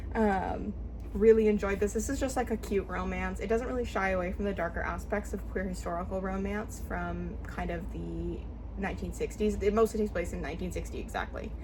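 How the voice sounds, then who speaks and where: Noticeable background noise and audible room echo surround a woman speaking at a fairly quick pace. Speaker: book reviewer. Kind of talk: casual book review vlog. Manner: fast. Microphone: poor audio quality.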